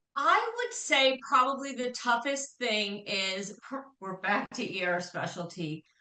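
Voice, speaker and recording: With an American accent and a normal speaking voice, a woman at fairly high pitch talks at a fairly slow pace with lively intonation. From Chicago. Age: 60s. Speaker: veterinary hospital administrator. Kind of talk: interview testimony.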